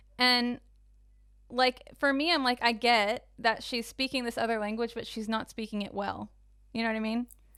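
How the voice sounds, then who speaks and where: A woman with an American accent talks at a moderate pace and a fairly high pitch, with fairly even intonation, in an unremarkable speaking voice. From United States, with long childhood stay in the Netherlands. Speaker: podcast co-host. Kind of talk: casual chat.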